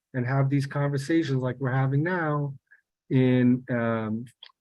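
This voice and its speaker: A man speaks at medium pitch with a New York accent. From New York City, South Bronx. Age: 60s. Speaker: peace project co-founder. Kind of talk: testimony. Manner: halting, many repetitions and fillers.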